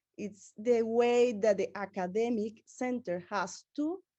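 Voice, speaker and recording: At a fairly slow pace, a woman with a Venezuelan accent speaks in a dark, mellow tone at a fairly high pitch. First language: Spanish. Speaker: researcher. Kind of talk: conference presentation. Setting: conference. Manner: halting.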